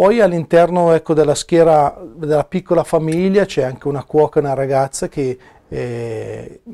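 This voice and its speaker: At a moderate pace, a dark, mellow voice speaks with ordinary pitch variation against a quiet background. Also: man. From northern Italy, Milan province; northern Italy. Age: 40s. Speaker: missionary priest. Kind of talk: personal testimony interview; interview answer. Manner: hesitant, with filler sounds. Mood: calm, reflective. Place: office. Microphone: lapel.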